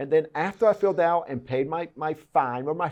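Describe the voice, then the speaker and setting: A man with a Cuban accent, animated in tone, fairly high in pitch, fairly quick in pace, with ordinary pitch variation. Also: quiet background. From Cuban heritage, born in Puerto Rico. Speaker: politician. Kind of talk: interview. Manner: animated, repetitive stammering.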